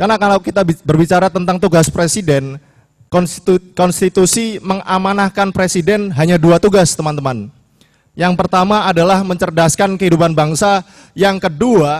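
A man's high-pitched voice at a moderate pace, very even in loudness and fairly even in intonation, over a quiet background. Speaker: student leader; speaker. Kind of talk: speech. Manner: impassioned. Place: hall. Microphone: podium.

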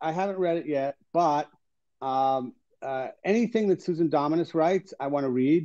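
At a moderate pace, a man with a dark, mellow tone speaks with ordinary pitch variation over a quiet background. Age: 60s. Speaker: business journalist and columnist; guest journalist. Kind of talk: interview. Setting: video call from home. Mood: relaxed conversational. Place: home room. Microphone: video call.

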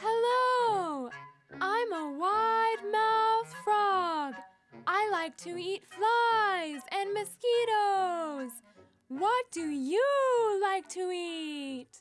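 A cartoonish character voice, female-sounding and extremely high in pitch for a woman, moves at a very slow pace. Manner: bright, friendly, curious.

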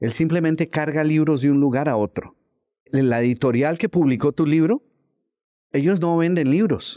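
Against a quiet background, a man's dark, mellow tone sits at a fairly high pitch with very even loudness. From Colombia, Bogotá. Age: 60s. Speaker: author and motivational speaker. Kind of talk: interview conversation. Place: studio.

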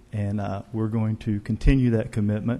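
In a very clean recording with a silent background, a dark, mellow voice with an Arkansas accent speaks at a moderate pace in monotone, flat intonation. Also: man. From Northwest Arkansas. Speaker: arts organization executive director. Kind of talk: formal remarks at city council meeting. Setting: council chamber.

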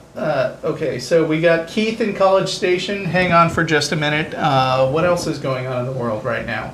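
A man speaks at a moderate pace with hardly any pauses and ordinary pitch variation. The recording has audible room echo and light background noise. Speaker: show host. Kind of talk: talk show discussion. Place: studio. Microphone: lapel.

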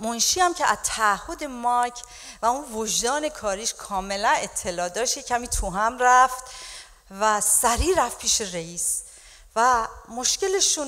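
A high-pitched woman at a moderate pace, with lively intonation. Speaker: pastor preaching. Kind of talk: sermon. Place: church. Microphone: handheld.

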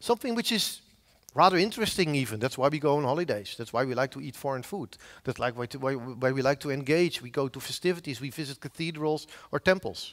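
A man with a Dutch accent talks at a very fast pace with lively intonation and big swings in loudness against a quiet background. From Netherlands, Zeeland; Netherlands. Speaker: professor of software engineering; conference speaker. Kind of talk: conference talk. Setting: stage with audience. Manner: halting. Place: hall. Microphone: headset.

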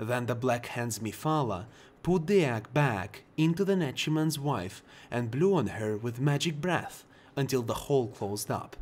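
In a Russian accent, a man with a medium pitch speaks at a moderate pace with lively intonation. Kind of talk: bedtime lore book reading.

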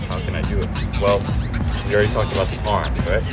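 A man is talking. Loud music plays in the background. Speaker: dance club instructor. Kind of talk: tutorial. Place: street.

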